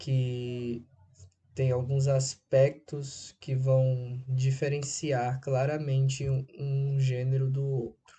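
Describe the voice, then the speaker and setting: A man with a slight northeastern Brazilian accent speaks at a medium pitch, somewhat breathy. His delivery is very slow, with monotone, flat intonation. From Brazil, Recife, Pernambuco. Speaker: writer. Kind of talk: interview answers, monologue. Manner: halting.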